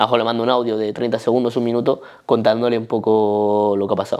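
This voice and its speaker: Against a quiet background, a man with a Spanish accent speaks at a fairly quick pace. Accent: Spanish (Spain). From Spain. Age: 20s. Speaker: powerlifting athlete; interviewee. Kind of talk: casual interview. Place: home room.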